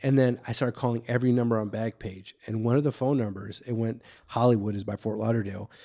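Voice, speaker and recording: Very fast speech from a man, medium in pitch, intonation fairly even. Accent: Chicago. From Waukegan, Illinois. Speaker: comedian. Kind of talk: casual chat.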